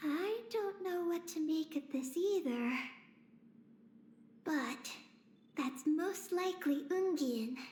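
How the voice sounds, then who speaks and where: The speaker uses a put-on character voice with a high pitch. The delivery is very slow, with long, frequent pauses. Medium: video game. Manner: polite, halting.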